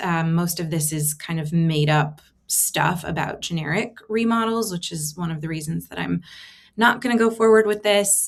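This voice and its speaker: In front of a quiet background, a woman speaks at a moderate pace in a fairly low voice with ordinary pitch variation. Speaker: tech content creator; creator showing her AI experiments. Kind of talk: screen-share tutorial. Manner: casual, filler-heavy. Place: home room. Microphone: webcam.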